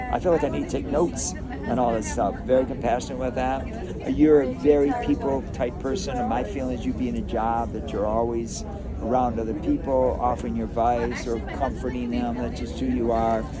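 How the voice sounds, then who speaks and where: A man talks at a fairly quick pace with hardly any pauses. The recording has audible room echo and noticeable background noise. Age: 70s. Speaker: psychic reader. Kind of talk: aura reading. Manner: animated.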